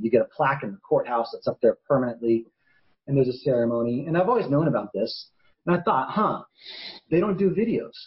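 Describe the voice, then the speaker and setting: A man's fairly high, somewhat breathy voice at a very fast pace, with very wide pitch swings. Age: 40s. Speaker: attorney and documentary maker. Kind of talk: interview answer.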